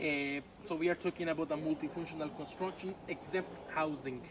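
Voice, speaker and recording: A fairly quick pace in a Mexican accent, with noticeable background noise. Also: man. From Yucatan, Mexico. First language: Yucatec Maya. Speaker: tour guide. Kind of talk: guided tour talk. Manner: halting with filler words.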